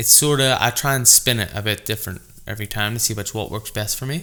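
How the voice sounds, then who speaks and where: The voice has a bright, sharp tone and ordinary pitch variation. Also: man. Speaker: barber. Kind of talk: podcast interview.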